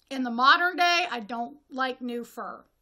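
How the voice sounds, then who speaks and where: A woman with an American accent speaks at a fairly slow pace in a raised, projected voice that is high, bright and sharp, with lively intonation, on a very clean recording with a silent background. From Northwest Ohio, US Midwest. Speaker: horror film reviewer, video creator. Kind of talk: casual review monologue. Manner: halting with self-corrections.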